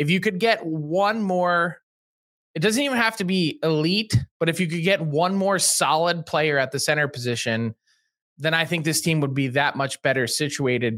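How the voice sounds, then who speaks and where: A man with an unremarkable speaking voice talks at a moderate pace and fairly high pitch. The recording is very clean with a silent background. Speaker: hockey insider journalist. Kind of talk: casual chat.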